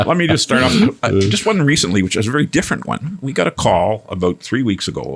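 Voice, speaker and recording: A man talks at a very fast pace in a Canadian accent, his pitch swinging very widely. Noticeable background noise sits behind him. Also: medium pitch for a man. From Quebec. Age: 60s. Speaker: executive director of a helpline service. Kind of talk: interview. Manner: animated; halting.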